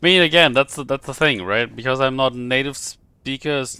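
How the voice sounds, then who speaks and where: A man speaks at a moderate pace and medium pitch, his tone bright and sharp. The sound is dry and close with no echo, and the recording is very clean with a silent background. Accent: German. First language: German. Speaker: video game streamer. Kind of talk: live gameplay commentary. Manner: halting.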